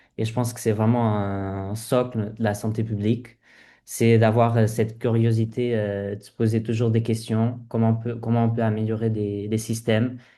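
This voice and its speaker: Over a quiet background, a man with a dark, mellow tone talks at a moderate pace and medium pitch, his intonation monotone and flat. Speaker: public health medical resident. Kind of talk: informational presentation. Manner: halting, many hesitations.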